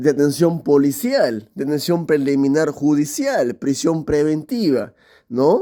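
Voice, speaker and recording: This man's voice sits fairly high and moves very slowly. His pitch swings very widely. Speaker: law content creator. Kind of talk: lecture. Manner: halting.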